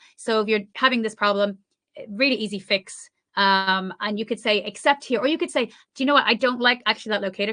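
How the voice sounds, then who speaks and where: A woman races along at a very fast pace in a fairly high, bright, sharp voice. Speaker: conference speaker, developer advocate. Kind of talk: conference talk with live demo. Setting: online presentation, screen sharing. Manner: casual, lively.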